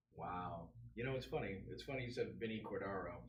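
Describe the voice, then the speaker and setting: A man with a New York accent at a fairly quick pace, amid audible room echo and noticeable background noise. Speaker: podcast co-host. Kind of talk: casual chat. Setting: live podcast stream.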